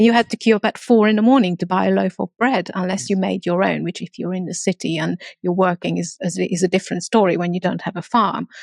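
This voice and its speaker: A woman in a Hungarian accent at a very fast pace, medium pitch with ordinary pitch variation and vocal fry, in a dry, close sound with no echo and a quiet background. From Transylvania, Romania (ethnic Hungarian). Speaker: entrepreneur. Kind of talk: interview.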